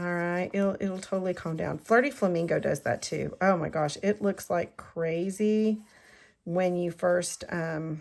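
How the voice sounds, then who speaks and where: On a very clean recording with a silent background, a woman with a normal speaking voice talks at a fairly slow pace. Her pitch is fairly low and her intonation fairly even. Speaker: card-making crafter and demonstrator. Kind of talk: crafting tutorial. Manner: casual, chatty.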